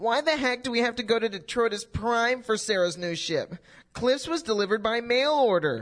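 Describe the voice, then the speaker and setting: In a put-on character voice, a female-sounding speaker talks at a moderate pace with fairly high pitch against a quiet background. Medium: audio drama. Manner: eager, chipper.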